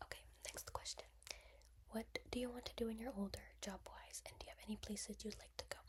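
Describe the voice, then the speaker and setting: A soft-spoken woman talks at a very fast pace broken by long, frequent pauses. Noticeable background noise runs underneath. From East Coast, US. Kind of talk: casual talk to camera.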